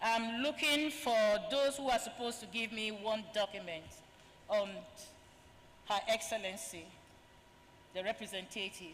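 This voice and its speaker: Noticeable background noise sits behind a woman with a fairly high pitch. She speaks at a moderate pace with long, frequent pauses. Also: ordinary pitch variation. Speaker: event moderator. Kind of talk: formal introduction of speakers. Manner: formal.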